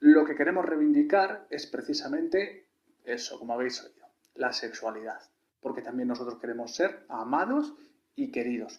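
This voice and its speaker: A man with a high voice speaks at a moderate pace. His pitch swings very widely, and his loudness rises and falls sharply. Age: 30s. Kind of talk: video testimonial.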